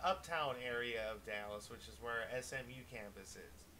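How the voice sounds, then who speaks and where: The voice has a bright, sharp tone and comes with a Wisconsin accent. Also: man. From US Midwest, Wisconsin. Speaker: gaming streamer. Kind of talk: casual live-stream chat. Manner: casual, hesitant with fillers.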